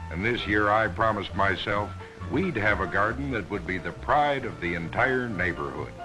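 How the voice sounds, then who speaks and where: Against music in the background, a man with a relaxed tone talks at a moderate pace, his pitch swinging very widely. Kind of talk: promotional film narration. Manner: relaxed, contented.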